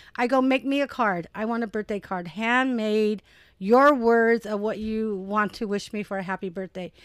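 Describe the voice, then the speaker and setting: In a normal speaking voice, a woman talks at a moderate pace and a fairly high pitch with ordinary pitch variation, the sound dry and close with no echo on a very clean recording with a silent background. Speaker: mother guest co-host, works with students. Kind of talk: casual chat.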